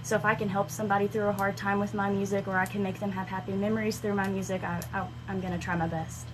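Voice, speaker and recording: Over noticeable background noise and audible room echo, a woman talks very fast at a medium pitch with lively intonation and hardly any pauses. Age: 20s. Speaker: country singer-songwriter. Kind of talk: radio interview. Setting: radio studio.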